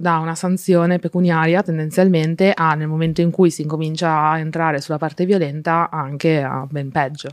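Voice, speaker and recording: Speaking at a medium tempo, a woman uses a fairly low pitch in a flat, monotone delivery. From Friuli, north-east Italy. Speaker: advertising strategist, activist. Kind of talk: casual interview chat.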